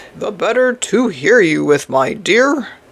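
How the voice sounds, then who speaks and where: In a put-on character voice, the speaker sounds hoarse, raspy and croaky, using a fairly high pitch at a fairly slow pace. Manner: feigned sweetness, sly.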